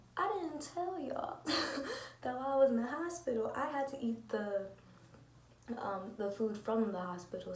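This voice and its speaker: A woman is soft-spoken. There is noticeable background noise. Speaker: lupus vlogger. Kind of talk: casual talk to camera. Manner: quiet, soft-spoken.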